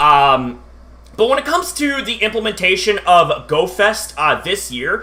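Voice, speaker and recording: A man with a high voice speaks at a moderate pace, raised and projected, with very wide pitch swings. Noticeable background noise runs underneath. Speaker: YouTuber live streamer. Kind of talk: casual live stream chat. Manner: halting, many fillers.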